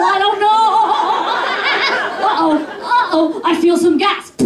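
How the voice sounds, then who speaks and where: At a very slow pace with hardly any pauses, the speech keeps very even loudness and ordinary pitch variation over noticeable background noise. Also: woman. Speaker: stand-up comedian. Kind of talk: stand-up comedy routine.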